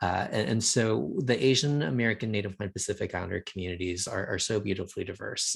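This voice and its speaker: A somewhat breathy voice goes at a very fast pace with ordinary pitch variation. The background is quiet. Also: man. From Texas. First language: Thai. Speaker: nonprofit representative, presenter. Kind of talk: educational presentation.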